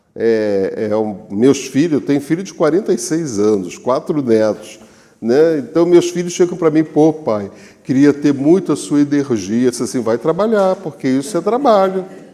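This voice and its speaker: A man with a fairly high pitched voice and a dark, mellow tone talks at a moderate pace, his pitch swinging very widely. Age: 70s. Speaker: spiritist lecturer. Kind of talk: lecture.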